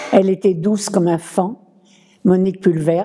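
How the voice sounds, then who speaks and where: A woman speaks at a medium pitch. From France, Paris. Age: 90s. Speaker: war-era witness, former scout. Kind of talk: testimony.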